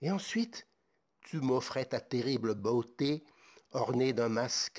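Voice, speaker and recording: A man speaks very slowly at a medium pitch with fairly even intonation, captured in a very clean recording against a silent background. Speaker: ASMR creator and author.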